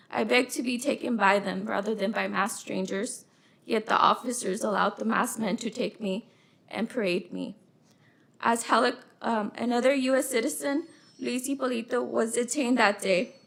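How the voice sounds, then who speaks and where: This woman's voice sits fairly high in pitch and carries vocal fry. She leaves long, frequent pauses. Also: ordinary pitch variation, moderate pace. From Los Angeles, California. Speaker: witness at a hearing. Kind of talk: testimony. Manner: soft-spoken.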